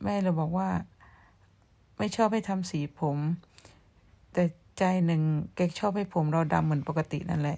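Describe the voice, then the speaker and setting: Her voice, a woman's, is fairly low-pitched with a dark, mellow tone. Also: ordinary pitch variation, very clean recording, silent background. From Thailand, Surin province. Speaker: vlogger. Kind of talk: casual vlog chat. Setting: outdoors behind the house.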